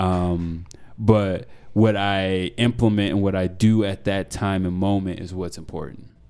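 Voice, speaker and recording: In an American accent, a man speaks in a very deep, low voice. His pace is fairly slow and his intonation monotone and flat. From Denver, Colorado, US. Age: 20s. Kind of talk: casual interview conversation. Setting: in a wine bar.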